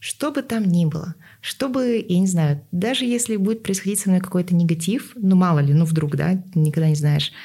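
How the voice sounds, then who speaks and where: Somewhat breathy and dark, mellow in tone, a woman speaks at medium pitch and a moderate pace with lively intonation. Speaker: podcast host. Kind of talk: casual interview chat.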